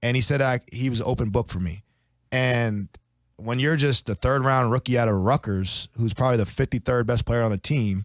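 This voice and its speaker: On a very clean recording with a silent background, a man with an American accent uses a normal speaking voice at medium pitch with ordinary pitch variation. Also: fairly quick pace. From South Jersey, US. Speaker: professional football player. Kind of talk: podcast interview. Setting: studio.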